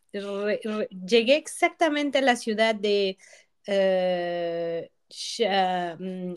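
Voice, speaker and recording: The delivery is very slow, with lively intonation. The recording is very clean, the background silent. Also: woman. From Mexico. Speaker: industrial designer. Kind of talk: casual chat.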